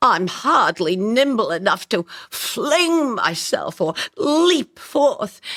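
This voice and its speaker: A put-on character voice with a warm tone sits at a high pitch and swings very widely in pitch. It moves at a very slow pace. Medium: audio drama. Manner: chatty, warm and self-deprecating.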